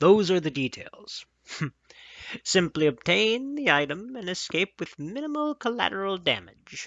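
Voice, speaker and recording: A man's put-on character voice, high in pitch, with very wide pitch swings. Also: moderate pace. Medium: read story. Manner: curt.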